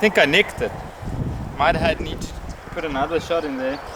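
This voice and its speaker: Fairly high-pitched man against noticeable background noise. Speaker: outdoors video creator, bowhunter. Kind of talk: casual vlog commentary. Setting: outdoors. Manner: loud, shouting at camera; halting, many fillers.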